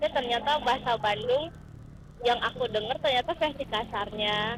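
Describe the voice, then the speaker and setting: Keeping very even loudness, a woman speaks at a high pitch and moderate pace. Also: ordinary pitch variation. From Manado, North Sulawesi. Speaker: student, motorbike taxi passenger. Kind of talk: casual chat.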